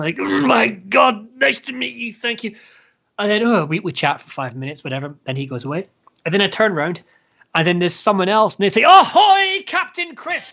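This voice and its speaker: In a Scottish accent, a man speaks at a fairly quick pace with a raised, projected voice, high in pitch, bright and sharp in tone, animated, and with big swings in loudness. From Scotland. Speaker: heavy metal band frontman. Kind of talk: casual chat.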